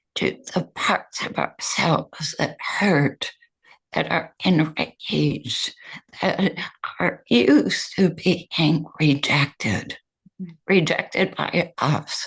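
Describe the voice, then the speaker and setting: A woman talks at a very slow pace in a very deep, low pitch, with vocal fry and ordinary pitch variation. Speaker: meditation teacher and author. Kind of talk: interview answer.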